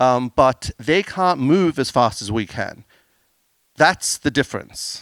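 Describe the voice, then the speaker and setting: With an Australian accent, a man speaks at a very slow pace with lively intonation, in a dry, close sound with no echo on a very clean recording with a silent background. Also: medium pitch for a man. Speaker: business owner presenting on AI. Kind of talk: conference talk with Q&A.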